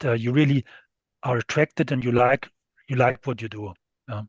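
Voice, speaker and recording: A somewhat breathy man's voice, dry and close with no echo, over a quiet background. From western Germany, near French and Luxembourg border. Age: 60s. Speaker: steel industry executive. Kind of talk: interview. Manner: halting, many fillers.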